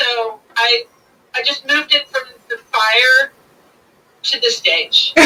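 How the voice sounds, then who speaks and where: Raised, projected voice at a very slow pace, with very wide pitch swings and long, frequent pauses. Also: woman, high pitch for a woman. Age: 50s. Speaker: folk singer and bard. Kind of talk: interview.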